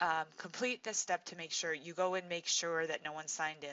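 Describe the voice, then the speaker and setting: This is a woman with an unremarkable speaking voice. She talks at a moderate pace and a fairly low pitch. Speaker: teacher. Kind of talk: tutorial.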